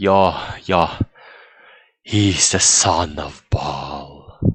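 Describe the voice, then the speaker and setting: Using a put-on character voice, a man pitches it very deep and low. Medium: read story. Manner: halting, repetitive, condescending.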